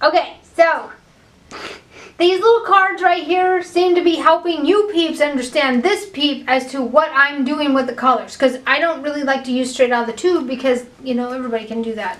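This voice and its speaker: Loud and animated, a woman speaks at high pitch. Her intonation is lively and her pace moderate. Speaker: painting tutorial host. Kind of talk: tutorial.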